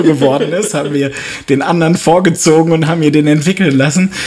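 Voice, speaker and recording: A man with a fairly high voice and normal pitch movement talks fairly quickly while noticeable noise runs behind him. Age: 40s. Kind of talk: casual chat.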